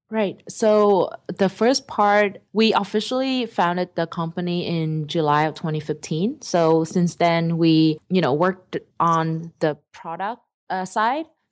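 A woman with a Vietnamese accent speaks at a fairly slow pace and a fairly low pitch, with ordinary pitch variation. The recording is very clean, with a silent background. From southern Vietnam. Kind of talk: interview.

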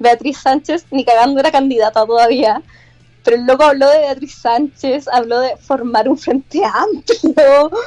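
In a dry, close sound with no echo, a woman with a Chilean accent speaks at a fairly slow pace and a high pitch, with ordinary pitch variation. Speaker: university student. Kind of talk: casual chat.

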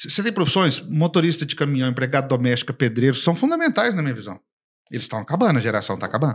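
A man's very fast, somewhat breathy speech, fairly high in pitch, with lively intonation. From Brazil. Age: 50s. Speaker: business consultant and company founder. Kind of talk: casual interview. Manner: animated.

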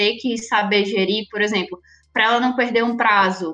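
A woman with a fairly high pitch. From Recife, Pernambuco, Brazil. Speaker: project manager at an advertising agency. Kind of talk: podcast interview.

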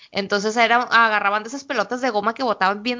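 A woman talks at a fairly quick pace with an ordinary speaking voice. Her pitch is fairly high, with ordinary pitch variation. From Mexico, Sinaloa. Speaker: podcast co-host. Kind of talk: casual chat.

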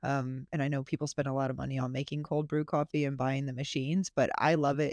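A woman with an American accent at a fairly quick pace, dry and close with no echo, over a quiet background. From Florida. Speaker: podcast co-host, homesteader. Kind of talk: casual chat. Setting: video call.

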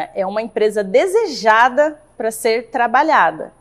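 A woman talks with lively intonation. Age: 30s. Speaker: carpentry business owner, architect. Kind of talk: interview.

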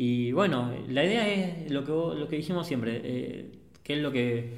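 With a Rioplatense accent, a man with a fairly high pitch talks at a very slow pace, using lively intonation amid audible room echo. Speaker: photographer, podcast host. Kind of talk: casual chat.

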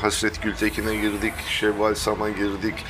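Fairly low pitch from a man at a moderate pace, with noticeable background noise. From Thrace, Turkey. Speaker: podcast co-host. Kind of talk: casual chat.

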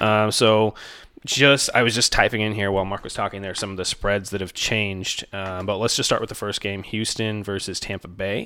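A man speaks fairly quickly in a fairly low, bright, sharp voice with monotone, flat intonation. The recording is very clean with a silent background. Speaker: fantasy football podcast co-host. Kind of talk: casual sports podcast chat. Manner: quiet.

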